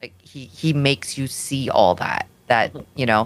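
Behind noticeable background noise, a woman with a very deep, low pitch speaks at a fairly slow pace. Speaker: podcast co-host. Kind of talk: casual chat.

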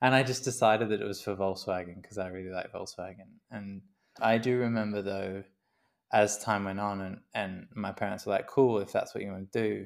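With an Australian accent, a man speaks at a fairly low pitch and a fairly quick pace. His intonation is fairly even, on a very clean recording with a silent background. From Queensland, Australia. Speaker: graphic designer and artist. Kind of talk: interview.

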